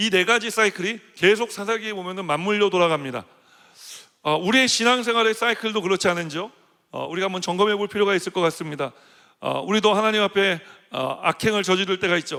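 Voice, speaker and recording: This man talks very fast in a raised, projected voice that is high for him, bright and sharp in tone. His pitch moves in an ordinary way. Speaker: senior pastor. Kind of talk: sermon.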